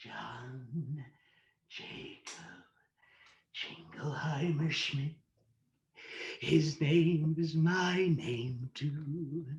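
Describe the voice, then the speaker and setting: A man in a put-on character voice, fairly high-pitched and fairly even in intonation, at a very slow pace with long, frequent pauses. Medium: solo performance. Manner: manic, laughing.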